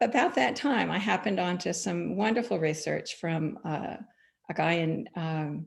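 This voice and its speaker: Speaking at a fairly slow pace with an American accent, a woman uses a fairly low pitch, very wide pitch swings and vocal fry. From US (California). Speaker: wool grower, former climate scientist. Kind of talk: panel discussion. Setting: online forum.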